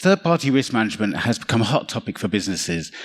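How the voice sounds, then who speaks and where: Very fast speech from a man with a London accent, medium in pitch. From London, England. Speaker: cybersecurity consultant. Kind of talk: conference talk.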